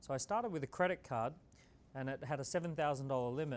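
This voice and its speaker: A man speaks very fast in an Australian accent. His fairly high pitch shows ordinary variation. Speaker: entrepreneur and author. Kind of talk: motivational talk. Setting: stage with audience.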